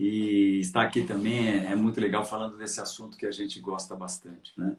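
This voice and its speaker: Fairly low in pitch, a man speaks. His pace is moderate. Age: 60s. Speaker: market analyst, trader. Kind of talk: interview, career story. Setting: live stream. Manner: halting, many fillers.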